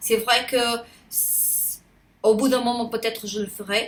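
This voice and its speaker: A woman speaks at a very slow pace with a Portuguese accent. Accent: non-native French accent, Portuguese. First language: Portuguese (speaking French). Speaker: YouTuber. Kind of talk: casual vlog monologue. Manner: halting, many hesitations; spontaneous, unedited.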